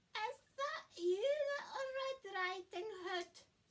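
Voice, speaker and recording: Squeaky and extremely high-pitched, a woman's put-on character voice moves at a very slow pace with lively intonation. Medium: read story.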